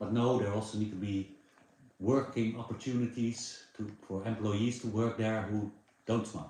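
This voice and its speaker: A man speaks at medium pitch in a dark, mellow tone. His delivery is monotone and flat, and somewhat breathy. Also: moderate pace. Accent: Dutch. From Netherlands. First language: Dutch. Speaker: live streamer. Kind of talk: casual chat. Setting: livestream.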